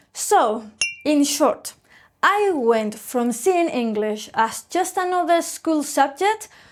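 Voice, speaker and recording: In a Spanish accent, a woman speaks very slowly in a high voice with lively intonation. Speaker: English teacher. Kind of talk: scripted storytelling listening exercise.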